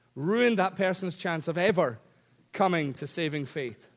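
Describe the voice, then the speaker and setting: On a very clean recording with a silent background, a man with a Scottish accent speaks with lively intonation. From Scotland. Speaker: preacher. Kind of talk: sermon. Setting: church. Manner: humorous.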